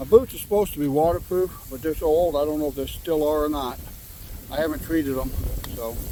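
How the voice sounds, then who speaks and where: Amid noticeable background noise, a man talks at a very fast pace with a fairly high pitch and ordinary pitch variation. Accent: American. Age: 60s. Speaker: outdoor vlogger. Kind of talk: casual vlog narration. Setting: outdoors by a river.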